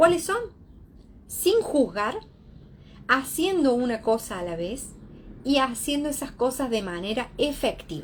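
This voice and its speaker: This woman speaks at a fairly slow pace with long, frequent pauses. Her high pitch swings very widely. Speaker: psychologist. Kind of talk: lecture.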